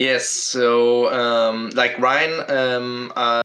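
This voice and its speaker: A man talks with a German accent. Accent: German accent, non-native English. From Germany. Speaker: podcast guest, book reviewer. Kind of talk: casual chat. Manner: halting, many fillers.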